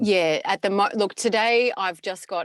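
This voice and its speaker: A woman with an Australian accent, recorded with a dry, close sound and no echo. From Brisbane, Australia. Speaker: voice actor. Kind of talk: interview answer.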